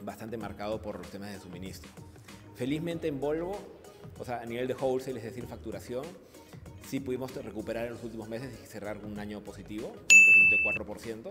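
A man talks at a fairly quick pace with ordinary pitch variation. Clear music plays in the background. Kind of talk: interview answer. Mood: upbeat, smiling. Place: shop. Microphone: handheld.

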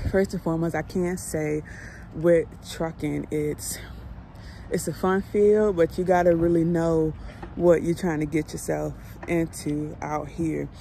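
A woman speaks in an unremarkable speaking voice, fairly low in pitch, with fairly even intonation at a moderate pace. The sound is dry with no echo, and there is light background noise. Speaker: truck driver vlogger. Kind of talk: casual vlog chat. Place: street. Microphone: phone near.

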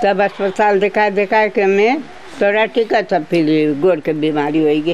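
Against light background noise, a woman talks at a very slow pace, her loudness very even and her pitch varying in an ordinary way. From Fiji. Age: 80s+. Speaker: elderly interviewee; interviewee. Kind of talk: interview. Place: home room.

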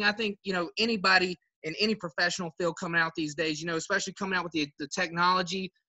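Fairly high for a man, his bright, sharp tone holds fairly even intonation.

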